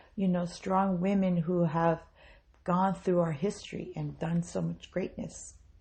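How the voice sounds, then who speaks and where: The voice is somewhat breathy, with an American accent. It moves fairly slowly in a monotone, flat intonation. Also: woman, fairly low pitch for a woman. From US South, South Mississippi. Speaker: podcast host. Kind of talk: motivational talk.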